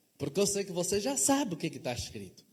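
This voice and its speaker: A man speaks at a moderate pace, his pitch swinging very widely up and down. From Angola, Luanda (Cazenga). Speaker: pastor. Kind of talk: sermon. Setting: church.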